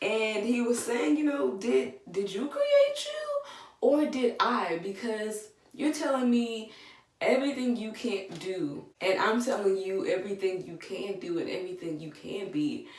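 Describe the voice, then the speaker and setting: A woman speaks fairly slowly at a fairly high pitch, with very wide pitch swings and big swings in loudness. Room echo is audible and background noise is noticeable. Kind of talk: devotional talk with scripture reading. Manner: soft-spoken.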